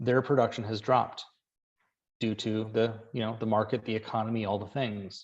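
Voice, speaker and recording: Talking at a fairly quick pace, a man is heard against a quiet background. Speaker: business coach for real estate agents. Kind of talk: webinar presentation. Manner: animated.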